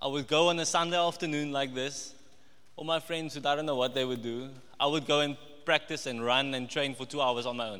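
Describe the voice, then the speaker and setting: In a room with audible echo, a man talks at a fairly quick pace, his fairly high voice bright and sharp in tone. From Namibia. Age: 20s. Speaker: trainee accountant giving a church sermon. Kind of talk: sermon. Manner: hesitant, with many fillers and repetitions.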